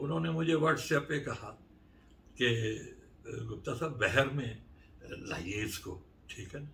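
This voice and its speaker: A man speaks with lively intonation, and the room echo is audible. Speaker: poet. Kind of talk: interview. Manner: halting.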